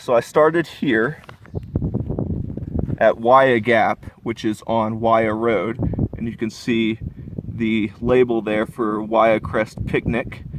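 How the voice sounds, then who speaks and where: A medium-pitched man at a very slow pace, with long, frequent pauses, fairly even intonation and noticeable background noise. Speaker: hiker. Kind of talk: casual talk to camera. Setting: outdoors.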